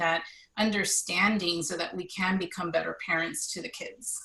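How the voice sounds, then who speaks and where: A woman speaks at a moderate pace. Her pitch is medium, with ordinary variation. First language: Spanish. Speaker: gifted education association officer. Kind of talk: online meeting presentation.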